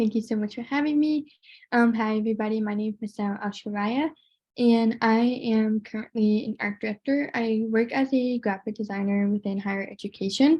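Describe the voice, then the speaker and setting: Somewhat breathy delivery at a fairly quick pace, with fairly even intonation. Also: woman, fairly high pitch for a woman. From immigrant background. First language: American Sign Language. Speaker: panelist, deaf graphic designer. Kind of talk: panel discussion.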